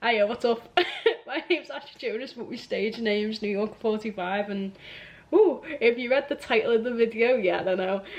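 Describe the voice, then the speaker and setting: With ordinary pitch variation, a woman talks at a moderate pace in a fairly high voice. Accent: Liverpool. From Liverpool, England. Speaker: musician. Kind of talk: casual vlog chat. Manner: hesitant, many fillers.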